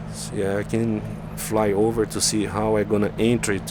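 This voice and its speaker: A man with a Brazilian accent, over noticeable background noise. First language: Portuguese. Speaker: flight simulator YouTuber. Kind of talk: gameplay tutorial. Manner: halting.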